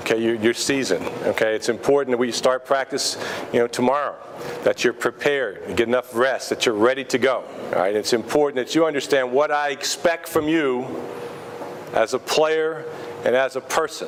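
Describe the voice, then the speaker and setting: A man with an American accent speaks at a fairly quick pace in a medium pitch with fairly even intonation. Noticeable background noise is present. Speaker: high school basketball coach. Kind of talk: team talk. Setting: restaurant dinner.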